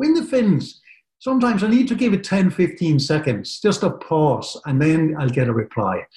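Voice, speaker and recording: A man with a Danish accent talks at a moderate pace in a high pitch, with very wide pitch swings. His tone is dark and mellow, and his loudness stays very even. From Denmark. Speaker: software company partner manager. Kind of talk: webinar presentation.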